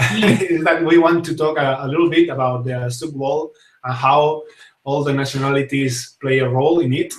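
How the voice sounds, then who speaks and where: A man with a strong Spanish accent and a fairly high pitch speaks at a moderate pace with fairly even intonation. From Spain. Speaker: talk show host and zouk dancer. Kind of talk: casual live talk show. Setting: live stream. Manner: halting, many fillers.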